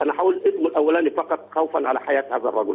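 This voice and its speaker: The speaker is a man. His delivery moves at a fairly quick pace. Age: 60s. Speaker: caller. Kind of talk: phone-in talk show call.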